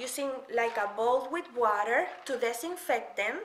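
Audible room echo carries a woman's high-pitched voice, which has a fairly bright tone and lively intonation.

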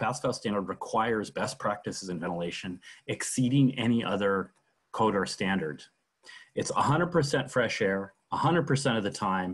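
A man's voice with very wide pitch swings over a quiet background. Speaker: webinar host. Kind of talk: prepared talk on a video call. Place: home room. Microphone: video call.

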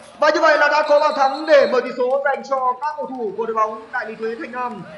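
Noticeable background noise sits behind a man speaking at a fairly quick pace with ordinary pitch variation. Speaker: football commentator. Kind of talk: live commentary. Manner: formal.

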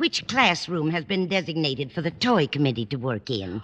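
A woman performs a put-on character voice at a low pitch, her fairly bright tone moving through big pitch swings at a moderate pace.

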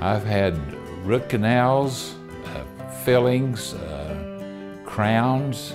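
Over clear background music, a man talks at a very slow pace, his pitch swinging very widely. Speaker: dental patient. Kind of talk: interview answer. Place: office. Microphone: lapel.

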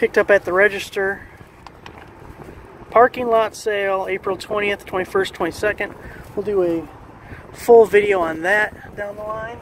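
The delivery is at a fairly slow pace, with a dry, echo-free sound and light background noise. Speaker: tool channel vlogger. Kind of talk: casual vlog chat. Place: street. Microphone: phone near.

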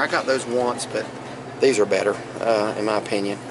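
The speaker talks at a moderate pace. Background noise is noticeable throughout. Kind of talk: casual vlog chat. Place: shop. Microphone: phone near.

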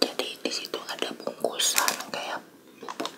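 A soft-spoken man whispering at a fairly slow pace amid loud background noise. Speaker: eating vlogger. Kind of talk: casual vlog chat. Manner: soft ASMR whisper, close to mic. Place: home room. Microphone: phone near.

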